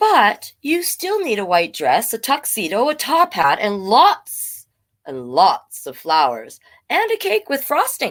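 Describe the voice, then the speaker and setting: Using a put-on character voice with a fairly high pitch, a woman speaks at a fairly slow pace in a very clean recording with a silent background. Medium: read story. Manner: many voices at once.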